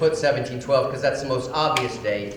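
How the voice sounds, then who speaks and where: Against noticeable background noise, a man with an American accent speaks at a fairly high pitch. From Mississippi. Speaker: salvage company operations director. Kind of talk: conference presentation. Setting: conference hall with audience. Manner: loud.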